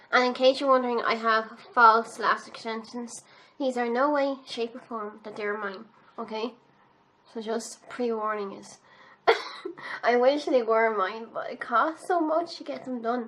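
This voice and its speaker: A woman with an Irish accent, fairly high in pitch and bright and sharp in tone, fairly slow with long, frequent pauses, big swings in loudness and ordinary pitch variation. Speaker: beauty youtuber. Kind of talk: makeup tutorial. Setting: home, filming in pyjamas. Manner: casual, chatty.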